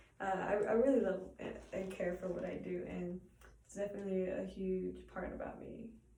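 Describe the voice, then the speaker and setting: Over noticeable background noise and audible room echo, a woman speaks with monotone, flat intonation. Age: 20s. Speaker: college student. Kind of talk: self-introduction speech. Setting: art studio. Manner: halting, many repetitions and fillers.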